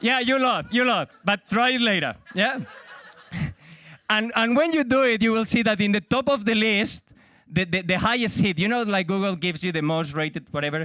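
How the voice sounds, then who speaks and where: A man talks with a high-pitched voice and lively intonation. The sound is dry and close, with no echo. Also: very clean recording, silent background. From Spain. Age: middle-aged. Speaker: comedian. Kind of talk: stand-up.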